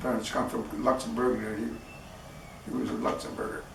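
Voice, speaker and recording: With an American accent, a man is heard over noticeable background noise and audible room echo. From US Midwest, Wisconsin. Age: 80s+. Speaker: war veteran. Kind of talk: interview.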